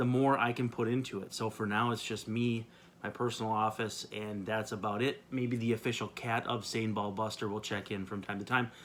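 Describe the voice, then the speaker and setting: A man's medium-pitched voice with a Minnesotan accent, flat and monotone, at a fairly quick pace on a very clean recording with a silent background. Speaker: baseball video blogger. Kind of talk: solo video blog commentary. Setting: home office.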